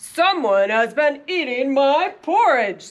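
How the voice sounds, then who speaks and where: A woman puts on a growling character voice, high in pitch, with very wide pitch swings. She delivers it at a fairly slow pace. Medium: read story.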